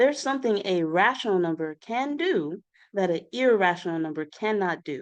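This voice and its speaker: A woman speaks in an ordinary speaking voice at a medium pitch and moderate pace, her intonation lively. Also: quiet background. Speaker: math tutor. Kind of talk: tutorial.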